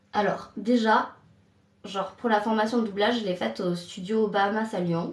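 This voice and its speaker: Somewhat breathy woman's voice, fairly high in pitch, at a very slow pace with fairly even intonation. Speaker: trainee voice actress. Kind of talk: casual live stream talk. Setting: bathroom.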